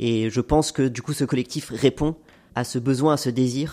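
The voice has a dark, mellow tone and ordinary pitch variation, on a very clean recording with a silent background. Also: man. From France, Haute-Savoie. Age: 30s. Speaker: NGO climate advocate. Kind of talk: testimony.

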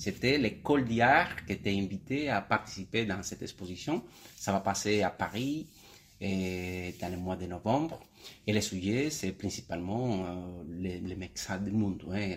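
The recording is very clean, with a silent background. A man with a Cuban accent and a fairly low pitch speaks at a fairly slow pace. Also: ordinary pitch variation. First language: Spanish (speaking French). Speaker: painter and art teacher. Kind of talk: radio interview. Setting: in his art studio. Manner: halting, repeats words.

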